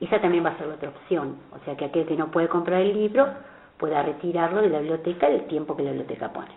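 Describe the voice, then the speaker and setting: A woman at a very fast pace with big swings in loudness and ordinary pitch variation, over noticeable background noise. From Argentina, Buenos Aires. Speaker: author. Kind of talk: interview.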